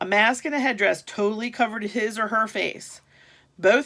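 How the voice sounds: Here the speaker reads in a natural reading voice.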